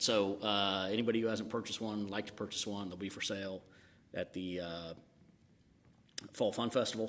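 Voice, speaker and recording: A man with a fairly low voice talks at a fairly quick pace, with ordinary pitch variation. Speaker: city council member. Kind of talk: council meeting remarks. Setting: council chamber meeting. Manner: halting.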